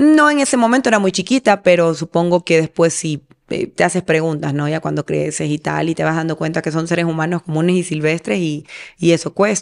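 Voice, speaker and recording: A woman's fairly low pitch with ordinary pitch variation, at a fairly quick pace over a quiet background. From Ecuador, Manabí coast (Portoviejo); Manabí, Ecuador. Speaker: singer; interviewee. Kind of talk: interview; interview answer. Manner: halting, repeats words. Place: home room. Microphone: studio mic.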